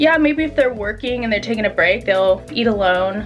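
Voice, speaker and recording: Music plays behind a woman with an American accent who speaks at a fairly high pitch. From southern California, USA. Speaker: YouTuber, Japan lifestyle vlogger. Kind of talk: casual talk to camera. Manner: fast, casual, frequent 'like'.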